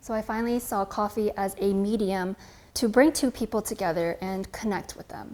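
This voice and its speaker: A woman's ordinary speaking voice with an American accent, medium in pitch, at a moderate pace with fairly even intonation and big swings in loudness. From California, US. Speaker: coffee creator and barista. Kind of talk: interview monologue.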